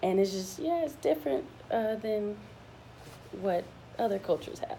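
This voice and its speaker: Against noticeable background noise, a woman with a Mississippi accent speaks at a moderate pace and medium pitch, her pitch swinging very widely. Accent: Mississippi Southern. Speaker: student. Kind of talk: class presentation.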